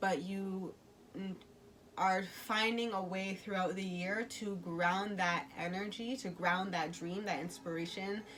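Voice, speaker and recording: At a fairly slow pace, a woman with a medium-pitched voice speaks in fairly even intonation, with noticeable background noise and audible room echo. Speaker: tarot and oracle card reader. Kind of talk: intuitive oracle reading. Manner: halting with many fillers.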